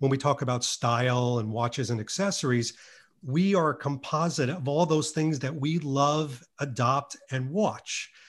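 At a moderate pace, a man speaks in a fairly high, somewhat breathy voice with ordinary pitch variation. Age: 50s. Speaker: YouTube creator on Bond style. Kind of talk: casual interview. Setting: remote podcast recording. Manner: animated; articulate.

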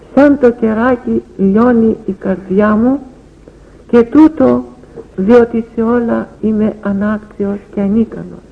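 Noticeable background noise surrounds a woman speaking very slowly in a fairly high voice with ordinary pitch variation. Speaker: elder, spiritual teacher. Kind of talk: devotional sermon and prayer reading. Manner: tender, emotional, earnest.

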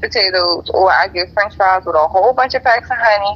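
Noticeable noise fills the background. The voice is a woman's. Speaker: podcast co-host. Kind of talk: casual chat. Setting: on a phone call from work.

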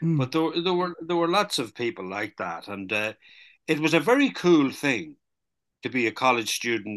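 A man with an Irish accent at a moderate pace, bright and sharp in tone, with very wide pitch swings and a quiet background. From Ireland, border county. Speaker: novelist. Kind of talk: interview. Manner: hesitant, many fillers.

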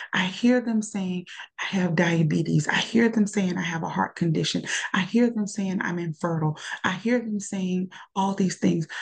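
At a moderate pace, a woman speaks in an ordinary speaking voice at a medium pitch with ordinary pitch variation. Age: 40s. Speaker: nurse. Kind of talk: casual chat.

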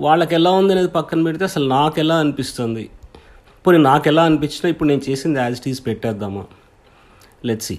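Here a man talks in a fairly high pitch with ordinary pitch variation. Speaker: independent filmmaker and podcaster. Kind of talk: casual solo monologue. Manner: halting, searching for words; shaky voice.

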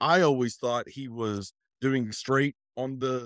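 A normal speaking voice at a fairly slow pace, dry and close with no echo, in a very clean recording with a silent background. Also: man. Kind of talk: casual chat.

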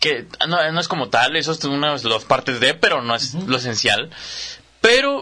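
With a Mexican accent, a man talks in a fairly high voice that shows ordinary pitch variation. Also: moderate pace. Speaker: podcast co-host. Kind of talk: casual chat.

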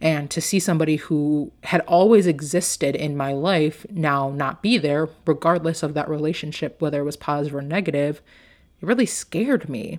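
Speaking at a moderate pace with ordinary pitch variation, a woman with a very deep, low voice is heard on a very clean recording against a silent background. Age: 20s. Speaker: life coach and podcast host. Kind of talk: personal story monologue. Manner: casual with filler words.

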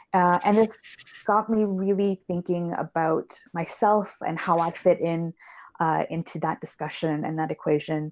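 Speaking at a fairly slow pace with fairly even intonation and a fairly low pitch, a woman is heard in a dry, close sound with no echo on a very clean recording with a silent background. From Canada. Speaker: learning programs manager in higher education. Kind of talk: interview.

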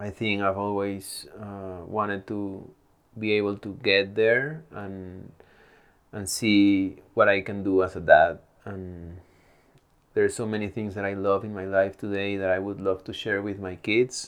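A man speaks fairly slowly in a fairly low, monotone, flat voice. His loudness swings a lot. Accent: Spanish. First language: Spanish. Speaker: mountain athlete and adventure filmmaker. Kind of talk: casual interview conversation.

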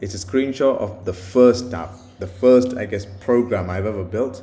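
Somewhat breathy and dark, mellow in tone, a man's voice carries audible room echo. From India and the UK. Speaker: podcaster, software developer. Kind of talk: solo monologue. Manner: halting, many fillers and repetitions; casual.

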